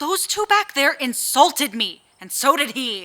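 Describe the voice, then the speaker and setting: Using a put-on character voice, a woman speaks at a high pitch with very wide pitch swings and big swings in loudness. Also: moderate pace. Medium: audio drama. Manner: terse, blunt.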